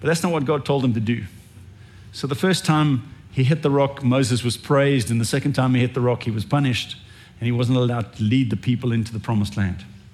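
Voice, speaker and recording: Somewhat breathy, a man speaks very fast at a medium pitch with ordinary pitch variation. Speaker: pastor. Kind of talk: sermon. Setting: church.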